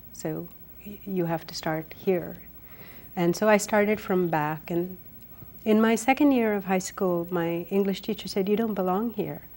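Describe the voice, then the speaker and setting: With an Indian accent, a woman speaks at medium pitch and a moderate pace, with ordinary pitch variation. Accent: Indian, still noticeable. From India, raised in Delhi. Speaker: writer. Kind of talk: interview.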